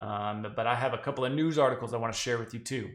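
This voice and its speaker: A man with a slight Southern US accent. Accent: slight Southern drawl creeping in. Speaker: crypto podcast co-host. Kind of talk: casual podcast chat.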